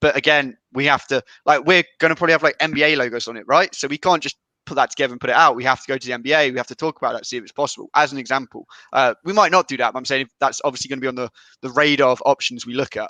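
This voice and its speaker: Speaking at a very fast pace, a man with a fairly high pitch and bright, sharp tone keeps fairly even intonation while his loudness swings a lot, recorded dry and close with no echo. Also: quiet background. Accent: British. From England, Leicestershire. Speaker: company representative. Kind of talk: casual chat.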